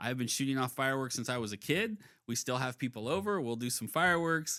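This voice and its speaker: Speaking at a very fast pace with an American accent, a man has a bright, sharp tone, medium pitch and lively intonation on a very clean recording with a silent background. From Topeka, Kansas. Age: 40s. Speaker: city council member and podcast host. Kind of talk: casual interview chat.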